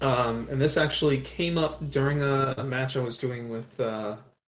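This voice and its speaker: Somewhat breathy, a man speaks at a medium pitch. His pace is fairly slow. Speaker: podcast co-host. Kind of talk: casual chat. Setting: remote recording.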